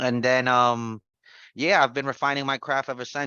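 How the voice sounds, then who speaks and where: A man speaks with a New York accent. His pace is very fast. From New York City (the Bronx). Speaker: trading educator, former real estate investor. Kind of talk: casual personal story on a group call. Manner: halting, many fillers and restarts.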